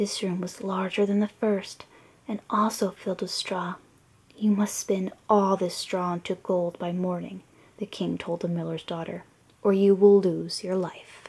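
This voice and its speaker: The voice is a soft-spoken, somewhat breathy whisper. It moves at a fairly slow pace. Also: woman. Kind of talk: storybook reading for relaxation. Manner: soft-spoken, whispery.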